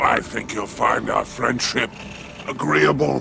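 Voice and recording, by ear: Doing a put-on character voice, a man talks slowly in a fairly low pitch with lively intonation and vocal fry. Clear music plays in the background.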